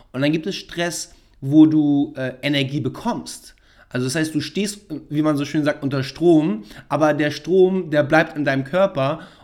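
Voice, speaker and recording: A man uses a normal speaking voice at a fairly high pitch and fairly slow pace, with ordinary pitch variation. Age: 30s. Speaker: podcast host and startup founder. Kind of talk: casual chat. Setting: studio.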